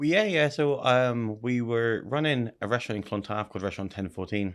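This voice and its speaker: A man with an Irish accent speaks at a fairly quick pace and medium pitch, with ordinary pitch variation. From Ireland, Wexford/Wicklow area. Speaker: restaurateur. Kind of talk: interview. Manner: halting.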